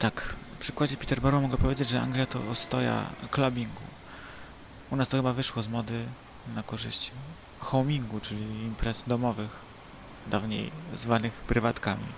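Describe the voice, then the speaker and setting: Amid noticeable background noise, a man speaks with flat, monotone intonation and long, frequent pauses. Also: medium pitch for a man, moderate pace. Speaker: podcast host. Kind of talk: casual monologue; reading aloud.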